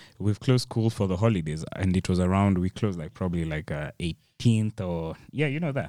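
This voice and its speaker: Very deep and low with a dark, mellow tone, a man speaks at a fairly quick pace with hardly any pauses and ordinary pitch variation, in a very clean recording with a silent background and a dry, close sound with no echo. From Kenya. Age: 20s. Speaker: illustrator and animator. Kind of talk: casual chat.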